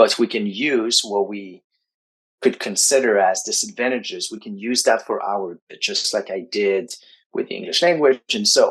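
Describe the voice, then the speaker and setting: A man with a French accent. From Quebec, Canada. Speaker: writing coach. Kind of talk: interview.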